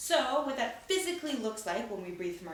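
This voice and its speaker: The speaker is a woman. Background noise is noticeable throughout. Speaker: theatre teaching artist. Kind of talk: instructional talk to camera for children. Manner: encouraging, casual.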